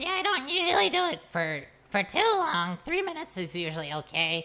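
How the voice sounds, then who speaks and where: A female-sounding, put-on character voice at a moderate pace. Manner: comedic.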